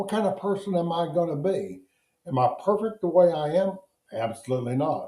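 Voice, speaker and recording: A man speaks at a high pitch and a fairly quick pace. His tone is dark and mellow. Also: ordinary pitch variation. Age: 80s+. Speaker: addiction recovery counselor. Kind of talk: recorded lesson to recovery group. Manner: warm, encouraging.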